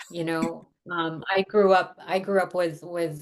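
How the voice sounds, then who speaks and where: Her fairly low-pitched voice stays monotone and flat as the woman speaks at a fairly slow pace. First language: Tagalog. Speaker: therapist. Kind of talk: interview.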